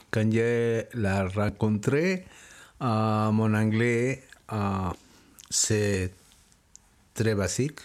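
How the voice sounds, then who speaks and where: Someone with a Spanish accent speaks at a very slow pace, leaving long, frequent pauses. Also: man. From Mexico City. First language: Spanish (speaking French). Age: 60s. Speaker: interviewee, father. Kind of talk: interview. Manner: halting.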